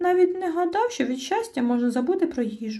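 A woman uses a put-on, squeaky character voice at an extremely high pitch. She speaks at a very fast pace. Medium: read story. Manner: excitable.

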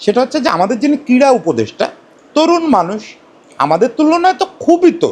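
This man's voice sits at an extremely high pitch and moves in very wide pitch swings. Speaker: cricket journalist and commentator. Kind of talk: solo opinion commentary. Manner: conversational, addresses viewers directly.

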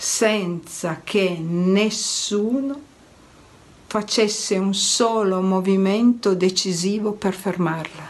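Very slow speech from a woman, pitch varying in an ordinary way. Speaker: storyteller. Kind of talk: dramatic reading of a story. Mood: solemn, expressive narration. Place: home room. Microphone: phone near.

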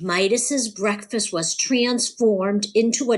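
Here we hear an unforced reading voice.

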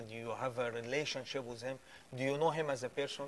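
Over light background noise, a man talks in a monotone, flat intonation with an Arabic accent. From Egypt. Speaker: guest sharing faith testimony. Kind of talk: preaching; testimony. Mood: earnest, pleading appeal. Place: studio. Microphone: lapel.

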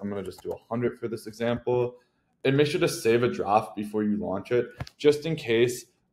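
A man is speaking at a moderate pace. His pitch shows ordinary variation. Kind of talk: tutorial. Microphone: webcam.

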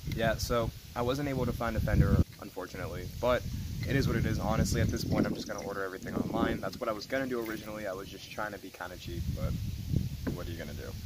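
Very fast male speech with ordinary pitch variation, loud background noise, and a dry sound with no echo. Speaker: car hobbyist vlogger. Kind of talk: casual vlog chat. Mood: mildly disappointed. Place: open country. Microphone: phone near.

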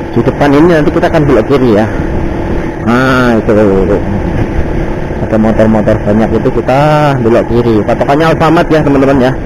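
A man talks at a fairly quick pace while noticeable background noise plays behind him. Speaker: motovlogger. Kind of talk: casual vlog chat. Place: motorbike. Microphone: helmet.

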